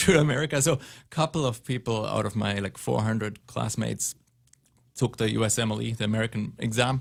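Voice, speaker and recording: A man with a German accent at medium pitch and a moderate pace, ordinary pitch variation, on a very clean recording with a silent background. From southern Germany. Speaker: pulmonologist. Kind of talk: radio interview. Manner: reserved, not talkative.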